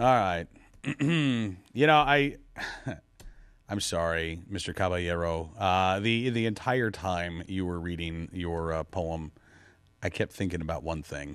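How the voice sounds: Speaking at a slow pace, a man with a low pitch and ordinary pitch variation has a clear, smooth tone that is fairly bright.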